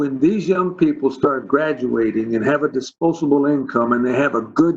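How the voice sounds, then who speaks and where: Speaking at a moderate pace, a man has a normal speaking voice with a fairly high pitch and ordinary pitch variation. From Texas, Dallas (Oak Cliff). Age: 60s. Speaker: school district superintendent. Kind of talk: virtual town hall panel.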